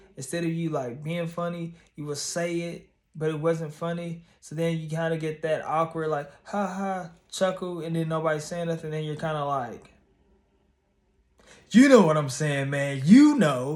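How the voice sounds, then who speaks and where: A plain, everyday voice from a man, fairly high in pitch, at a moderate pace with fairly even intonation. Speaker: YouTuber and stand-up comedian. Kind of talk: casual vlog monologue.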